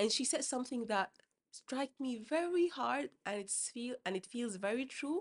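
A woman's high-pitched voice with lively intonation, dry and close with no echo. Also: moderate pace. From Sudan. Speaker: doctor and public health professional. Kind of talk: interview. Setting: studio. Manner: halting.

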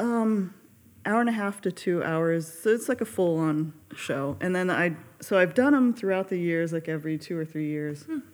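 A woman with an American accent speaks in an unremarkable speaking voice at medium pitch, moving at a moderate pace with lively intonation. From Carson, California. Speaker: pianist and accompanist. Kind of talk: casual podcast interview.

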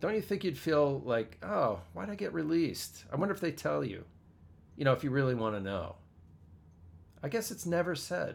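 Speaking at a moderate pace with long, frequent pauses, a man with an American accent uses a fairly high pitch, very wide pitch swings and vocal fry. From US, western Pennsylvania. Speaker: podcast host and performer. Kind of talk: casual chat. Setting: home studio.

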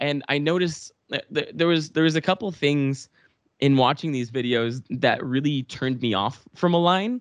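The speaker has a Canadian accent, ordinary pitch variation and a moderate pace. The sound is dry and close with no echo, against a quiet background. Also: man, fairly high pitch for a man. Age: 20s. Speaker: parkour athlete and actor. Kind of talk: casual chat. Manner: halting, many repeated words.

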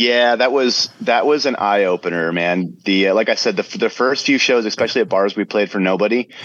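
Using a normal speaking voice with an American accent, a man talks at a fairly quick pace and medium pitch with ordinary pitch variation, very even loudness and hardly any pauses. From South Florida. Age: 40s. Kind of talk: casual interview.

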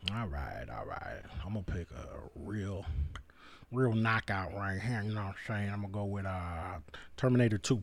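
A man with an unremarkable speaking voice, fairly low pitch, ordinary pitch variation and a moderate pace. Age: 30s. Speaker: podcast co-host. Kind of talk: casual chat.

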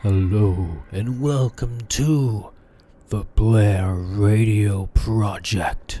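A man's put-on character voice, fairly low in pitch and at a very slow pace. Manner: silly, spooky.

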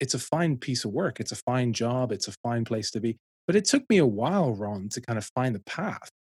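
Somewhat breathy man with a Dublin accent, medium pitch, lively intonation and moderate pace, captured in a dry, close sound with no echo. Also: hardly any pauses. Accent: Dublin Irish. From Ireland, Dublin. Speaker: ministry director. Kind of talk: interview.

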